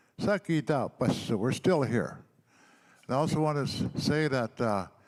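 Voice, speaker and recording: Speaking with an Albertan accent, a man talks at a fairly slow pace with lively intonation in a very clean recording with a silent background. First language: Blackfoot. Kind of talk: speech at a healing gathering. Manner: halting, with repetitions.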